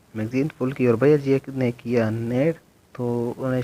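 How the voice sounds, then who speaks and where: Noticeable background noise runs behind this man's medium-pitched voice. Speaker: gaming YouTuber. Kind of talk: gameplay commentary.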